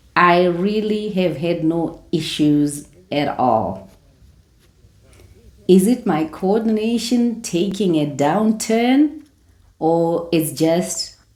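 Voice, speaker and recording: Amid audible room echo, a woman talks at a very slow pace with a fairly low pitch. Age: 60s. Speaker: retiree lifestyle vlogger. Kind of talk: casual vlog talk to camera.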